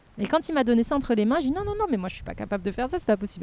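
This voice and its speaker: Her tone animated, a woman talks with lively intonation. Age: 40s. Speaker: archaeologist. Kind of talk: interview conversation.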